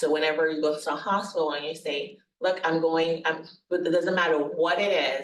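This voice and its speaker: With audible room echo around her, a woman speaks at a moderate pace in a fairly low pitch. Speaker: nurse practitioner presenting on hospice. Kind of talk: workshop presentation. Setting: workshop venue with live audience, also webinar.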